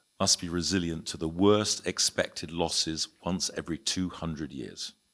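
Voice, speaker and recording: With a British accent, a man speaks at a moderate pace in a very deep, low pitch with ordinary pitch variation, recorded very cleanly against a silent background. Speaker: insurance and reinsurance broker, conference panelist. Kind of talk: conference panel talk. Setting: conference panel with audience. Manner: hesitant, many fillers and restarts.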